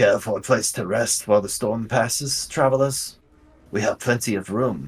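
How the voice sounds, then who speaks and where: A man puts on a character voice at medium pitch. His pitch varies in an ordinary way and his pace is moderate. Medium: actual play.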